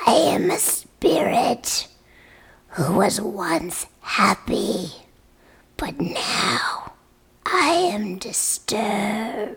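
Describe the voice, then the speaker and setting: A put-on character voice, female-sounding and raspy, sits at a medium pitch for a woman. It moves at a very slow pace with long, frequent pauses. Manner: demonic.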